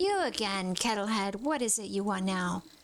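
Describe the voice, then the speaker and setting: This put-on character voice cackles along at a moderate pace. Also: woman, medium pitch for a woman. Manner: cackling.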